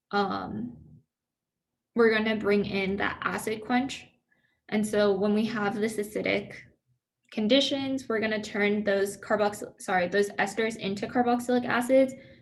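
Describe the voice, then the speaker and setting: In a room with audible echo, a woman speaks with a fairly high pitch and fairly even intonation. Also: moderate pace. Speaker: student peer tutor. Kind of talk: review session lecture. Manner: casual, filler-heavy.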